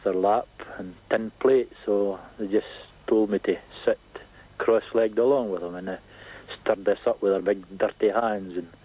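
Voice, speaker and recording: A man with a Scottish accent speaks at a moderate pace. His pitch is fairly low and his intonation is monotone and flat. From Scotland. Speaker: cycle tourist; former soldier. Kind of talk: interview answer.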